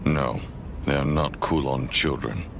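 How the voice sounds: A man puts on a cartoonish character voice at a fairly slow pace. Loud background noise runs underneath.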